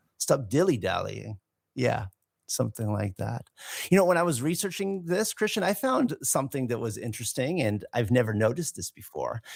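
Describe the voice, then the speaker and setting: With a Californian accent, a man talks at a fairly quick pace and medium pitch with very wide pitch swings, in a dry, close sound with no echo. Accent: California. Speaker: English teacher podcast co-host. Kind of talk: casual chat.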